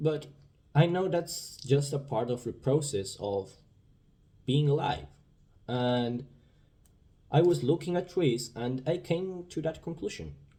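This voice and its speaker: With a Spanish accent, a man speaks at a fairly slow pace with long, frequent pauses. His voice is fairly high, dark, mellow and somewhat breathy, with ordinary pitch variation. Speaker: vlogger. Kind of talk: casual monologue. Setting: indoors. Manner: halting.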